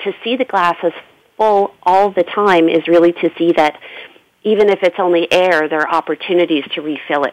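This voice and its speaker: An unremarkable speaking voice from a woman with a Canadian accent, fairly low in pitch, at a moderate pace in a dry, close sound with no echo. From Canada. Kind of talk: panel discussion. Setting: phone call.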